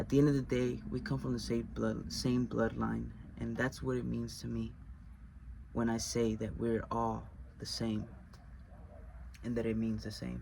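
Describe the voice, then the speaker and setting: A man with a Spanish accent, long and frequent pauses, and audible room echo. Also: moderate pace. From US, Mexican-American household. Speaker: video essayist. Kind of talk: personal explanatory monologue. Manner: halting, with self-corrections.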